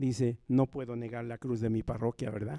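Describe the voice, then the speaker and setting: A man in a Mexican accent, medium pitch, dark and mellow in tone, fairly even intonation, moderate pace, dry and close with no echo. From rural Nahua community in Mexico. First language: Nahuatl (speaking Spanish). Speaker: Nahuatl speaker on a university panel. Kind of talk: panel talk. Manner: repetitive, emphatic.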